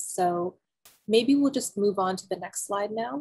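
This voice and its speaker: A somewhat breathy woman's voice at a fairly slow pace, with ordinary pitch variation. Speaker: museum program host. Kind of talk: online program introduction. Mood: warm, calm, welcoming. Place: home room. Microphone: webcam.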